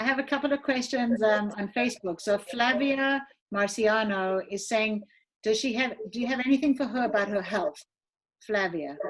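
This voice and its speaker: Speaking at a moderate pace, a woman uses a fairly high pitch with ordinary pitch variation. Her voice is somewhat breathy, with a South African accent. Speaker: event host. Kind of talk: live stream hosting. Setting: live video stream.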